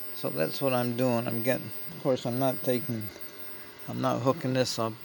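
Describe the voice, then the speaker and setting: A man talks at a medium pitch while noticeable background noise can be heard. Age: 70s. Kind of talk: casual vlog talk while working on a project. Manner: rambling, thinking aloud.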